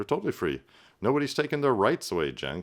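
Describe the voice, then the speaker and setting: Vocal fry runs through a man's speech at a fairly quick pace. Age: 50s. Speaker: political commentator. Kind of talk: reaction commentary. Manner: conversational with fillers.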